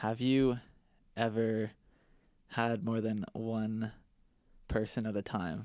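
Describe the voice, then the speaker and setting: A man with a medium-pitched voice speaks very slowly in a flat monotone, leaving long, frequent pauses, on a very clean recording with a silent background. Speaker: guest. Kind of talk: casual chat.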